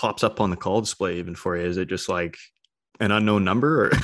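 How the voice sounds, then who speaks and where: Recorded very cleanly against a silent background, a man speaks with a Canadian accent in an ordinary speaking voice. His pitch is fairly low and varies in an ordinary way. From British Columbia, Canada (Cloverdale). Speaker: podcast host. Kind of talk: casual interview; scripted intro.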